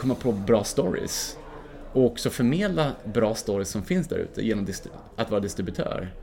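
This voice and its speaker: At a moderate pace, a man speaks with a medium pitch and lively intonation. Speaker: mountaineer and filmmaker. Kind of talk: casual interview. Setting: hotel lobby.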